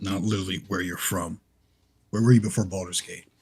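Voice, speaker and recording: Putting on a character voice, a man speaks fairly quickly in a raspy, fairly low-pitched voice with monotone, flat intonation. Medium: actual play. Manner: blunt, direct.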